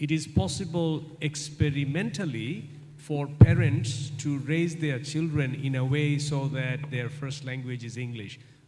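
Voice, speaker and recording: A man talks at a very slow pace with fairly even intonation and a fairly high pitch. His voice is somewhat breathy, and room echo can be heard. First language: non-English. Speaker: guest lecturer. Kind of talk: lecture Q&A.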